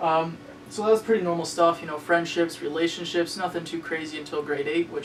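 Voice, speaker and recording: Someone with a Canadian accent talks at a very fast pace. Noticeable background noise runs underneath. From Ontario, Canada. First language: Spanish. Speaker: web series host. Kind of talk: personal storytelling monologue. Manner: casual, hesitant with many fillers.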